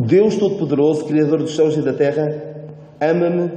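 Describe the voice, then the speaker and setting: Speaking at a moderate pace with a European Portuguese accent, a man is heard over noticeable background noise and audible room echo. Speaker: preacher. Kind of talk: sermon. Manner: hesitant, repeats words.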